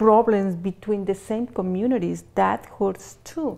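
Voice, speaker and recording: A woman speaks at a medium pitch. Her tone is dark and mellow, with ordinary pitch variation. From Mexico, southern Jalisco. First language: Spanish. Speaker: clothing retailer, business owner. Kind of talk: interview. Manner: halting.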